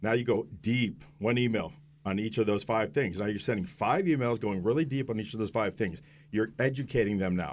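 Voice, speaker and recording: At a fairly quick pace, an unremarkable speaking voice moves with lively intonation. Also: man, medium pitch for a man. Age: 50s. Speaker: business coach. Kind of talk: radio interview. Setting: radio studio.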